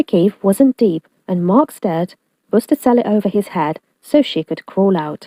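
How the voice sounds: The voice is a natural reading voice with lively intonation. The background is quiet.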